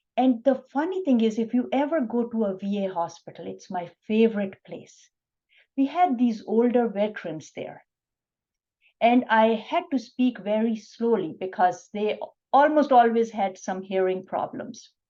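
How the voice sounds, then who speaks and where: Soft-spoken, a woman talks at a moderate pace with lively intonation. Her voice is fairly high, with a dark, mellow tone. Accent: Pakistani. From Pakistan. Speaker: physician. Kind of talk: interview.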